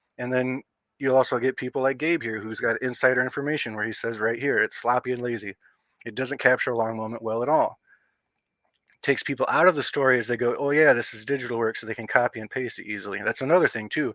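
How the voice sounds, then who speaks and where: With fairly even intonation, a man at medium pitch speaks at a very fast pace. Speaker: streamer discussing comics. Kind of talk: casual live stream commentary. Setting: live stream. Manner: casual, rambling with self-corrections.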